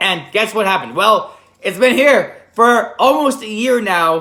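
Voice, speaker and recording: An animated voice with lively intonation at a moderate pace. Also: man. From Poland. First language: Polish. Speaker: event rental business owner, vlogger. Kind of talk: casual vlog monologue. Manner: animated, self-correcting.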